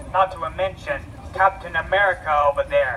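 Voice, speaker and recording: Noticeable background noise fills the clip. Through it, a man talks at a moderate pace. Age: 20s. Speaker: college student. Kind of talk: public speech at a rally. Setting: outdoors vigil crowd. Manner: stuttering, repetitive.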